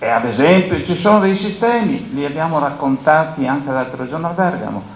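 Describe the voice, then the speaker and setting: Over noticeable background noise and audible room echo, a man with a fairly high pitch talks at a fairly quick pace, his pitch swinging very widely. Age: 70s. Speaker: grain dryer operator and agricultural speaker. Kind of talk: panel talk at a conference.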